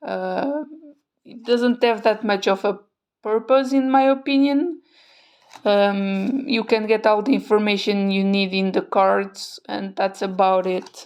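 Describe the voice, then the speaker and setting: A woman with a non-native accent speaks at a fairly high pitch on a very clean recording with a silent background. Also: ordinary pitch variation, fairly slow pace. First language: not English. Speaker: tarot content creator. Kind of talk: product review. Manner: hesitant, many fillers.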